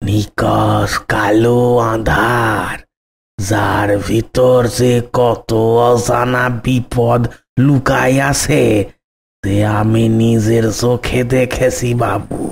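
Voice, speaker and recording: Using a cartoonish character voice at a medium pitch, a man talks at a very slow pace. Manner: deferential, folksy.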